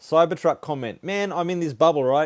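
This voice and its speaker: A man with an Australian accent, at a moderate pace, with ordinary pitch variation. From Australia (Sydney, Brisbane; some years in Papua New Guinea). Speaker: car YouTuber. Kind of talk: live stream Q&A, reading viewer comments. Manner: casual, hesitant with fillers.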